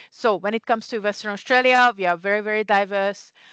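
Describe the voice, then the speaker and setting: A woman speaks at a medium pitch with fairly even intonation. The sound is dry and close with no echo, over a quiet background. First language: Hungarian. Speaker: community care CEO. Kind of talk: conference presentation.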